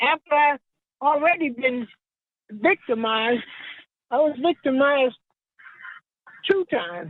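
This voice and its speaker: A woman speaks at a fairly slow pace in a high pitch, her intonation lively and broken by long, frequent pauses. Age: 70s. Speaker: crime victim, award recipient. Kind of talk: acceptance speech.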